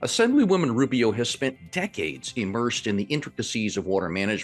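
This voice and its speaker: With music in the background, a man talks at a very fast pace, his medium-pitched voice making very wide pitch swings. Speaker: podcast host. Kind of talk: podcast intro.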